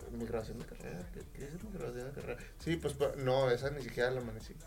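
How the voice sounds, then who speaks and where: A man's loudness swings widely as he speaks over noticeable background noise. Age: 20s. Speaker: musician. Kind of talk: casual chat.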